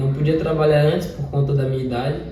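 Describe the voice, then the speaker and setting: A man's fairly high, fairly evenly intoned voice amid audible room echo and noticeable background noise. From Brazil, Palmeiras, Bahia. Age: 20s. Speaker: trekking guide. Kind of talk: interview.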